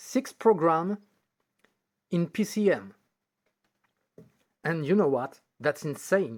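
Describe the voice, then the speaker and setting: With a French accent, the speaker goes at a very slow pace, leaving long, frequent pauses. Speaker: video tech hobbyist YouTuber. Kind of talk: tutorial. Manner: halting, with hesitations.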